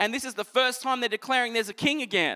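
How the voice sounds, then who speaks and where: A man with an Australian accent projects a raised voice with an animated, bright, sharp tone. The sound is dry and close with no echo, in a very clean recording with a silent background. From Queensland, Australia (Toowoomba). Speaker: pastor. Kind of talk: sermon. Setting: church.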